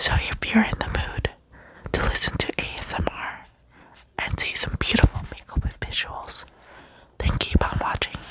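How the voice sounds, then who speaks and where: A whispering voice keeps a moderate speed, broken by long, frequent pauses, against noticeable background noise. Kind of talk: ASMR makeup unboxing. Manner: whispered.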